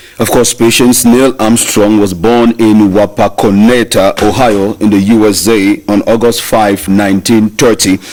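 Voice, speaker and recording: Over noticeable background noise, a man with a fairly low pitch speaks at a fairly slow pace in a monotone, flat delivery, his loudness very even and hardly any pauses breaking it up. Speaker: radio presenter of a history segment. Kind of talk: scripted history segment.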